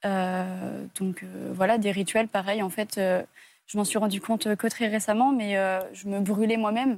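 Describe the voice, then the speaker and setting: Here a woman speaks at a medium pitch in a flat monotone. Her pace is very slow, and the recording is very clean with a silent background. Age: 20s. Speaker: abuse survivor. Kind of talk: testimony. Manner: halting.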